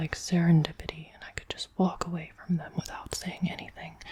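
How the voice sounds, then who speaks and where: Over noticeable background noise, a soft-spoken woman whispers. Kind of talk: ASMR book reading. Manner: soft-spoken, whispered.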